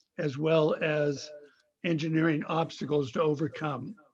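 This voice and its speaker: The man's voice sits at a fairly high pitch, with fairly even intonation. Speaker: public commenter, bicycle advocate. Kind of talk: public comment at council meeting. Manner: slow.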